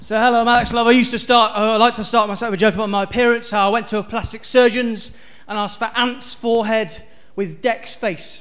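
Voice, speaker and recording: Talking very fast in a high pitch, a man with a West Country accent keeps a monotone, flat intonation. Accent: West Country accent, noticeable to audience. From South West England (Stroud, near Bristol). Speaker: stand-up comedian. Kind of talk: stand-up. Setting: stage with audience.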